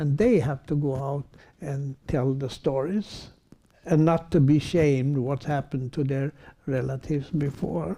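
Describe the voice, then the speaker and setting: Somewhat breathy and dark, mellow in tone, a man talks at a fairly slow pace with a fairly high pitch and ordinary pitch variation. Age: 80s+. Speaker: Roma rights activist. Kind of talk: panel discussion. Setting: public event with audience. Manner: halting.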